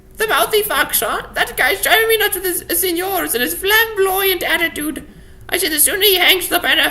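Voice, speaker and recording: Someone delivers a put-on character voice at a fairly quick pace against light background noise. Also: woman, extremely high pitch for a woman. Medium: solo performance. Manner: brash, mocking.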